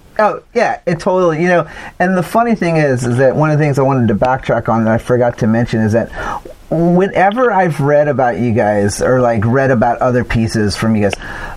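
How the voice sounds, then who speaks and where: A man with a medium pitch talks at a fairly quick pace, his pitch swinging very widely. There is noticeable background noise. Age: 40s. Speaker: podcast host and interviewer. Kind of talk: casual interview chat. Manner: halting, many fillers and repeats.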